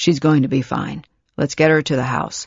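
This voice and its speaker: At a moderate pace, a raspy, put-on character voice speaks in a low-to-middle pitch. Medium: read story. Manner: quiet, calm, reassuring.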